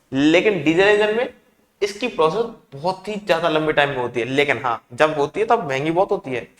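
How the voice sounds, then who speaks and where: Using lively intonation, a man with a fairly high pitch talks at a moderate pace. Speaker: engineering teacher. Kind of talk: lecture. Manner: conversational, asks rhetorical questions.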